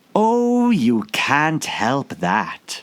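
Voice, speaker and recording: A man puts on a character voice, pitched fairly high, with very wide pitch swings. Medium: read story. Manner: sly, riddling.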